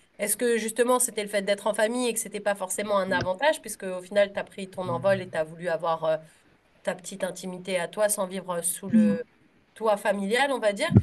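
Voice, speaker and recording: Her voice is a plain, everyday voice, pitched in the medium range. The woman talks fairly quickly, and her pitch varies in an ordinary way. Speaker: radio host. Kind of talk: radio interview questions.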